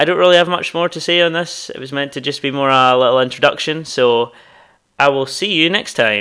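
Speaking at a fairly quick pace in a Scottish accent, a man has a fairly high pitch, ordinary pitch variation and a bright, sharp tone, on a very clean recording with a silent background. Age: 20s. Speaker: podcast host and new graduate starting a business. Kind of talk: solo introductory podcast monologue. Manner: casual, slightly halting with fillers.

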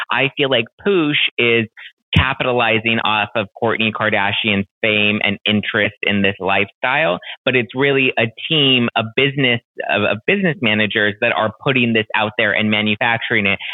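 A man uses an ordinary speaking voice at a medium pitch. His loudness stays very even. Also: ordinary pitch variation, moderate pace. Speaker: podcast host. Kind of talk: casual chat, pop culture talk. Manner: casual, chatty, uses filler words.

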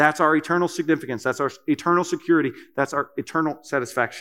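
A man speaks at a very fast pace with a Kentucky accent. His voice sits high in pitch. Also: very clean recording, silent background. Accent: Kentucky Southern US. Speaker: preacher. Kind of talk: sermon. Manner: hesitant, many fillers.

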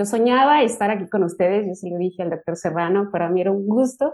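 A woman with a dark, mellow tone, medium pitch and lively intonation. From Mexico, Michoacán. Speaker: university lecturer and doctoral student. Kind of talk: panel discussion.

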